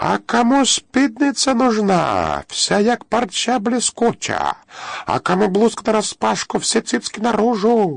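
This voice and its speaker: A man shouts in a put-on character voice, high-pitched, at a fairly slow pace, his loudness very even throughout. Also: dry, close sound with no echo. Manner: clownish, mocking.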